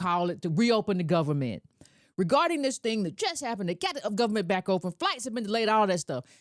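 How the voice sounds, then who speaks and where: A woman with an American accent and medium pitch speaks at a very fast pace in an animated tone with very wide pitch swings, in a dry, close sound with no echo. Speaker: political commentator. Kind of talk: political commentary monologue.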